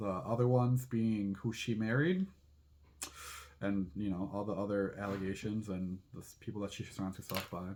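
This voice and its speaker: A man's fairly low voice at a moderate pace, with fairly even intonation and big swings in loudness. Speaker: drag queen, channel host. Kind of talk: casual chat. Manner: stumbles over words.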